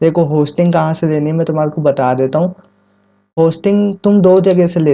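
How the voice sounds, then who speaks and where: A man speaks at a moderate pace in a dark, mellow tone, his pitch fairly high. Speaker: YouTube tech tutor. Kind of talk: tutorial. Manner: casual, conversational; quieter than usual.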